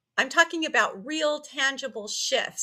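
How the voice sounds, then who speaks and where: Speaking at a fairly slow pace, a woman uses a bright, sharp tone with lively intonation. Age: 60s. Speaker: online business coach and affiliate marketer. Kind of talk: casual vlog talk to camera. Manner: conversational, with filler words.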